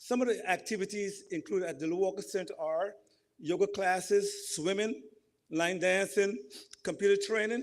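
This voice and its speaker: A man's high-pitched voice with a Guyanese accent. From Guyana. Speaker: community representative giving remarks. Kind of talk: ceremony speech.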